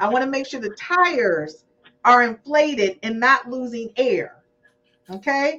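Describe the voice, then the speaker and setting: A high-pitched woman with an animated tone and lively intonation. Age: 50s. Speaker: podcast host. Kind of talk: casual chat.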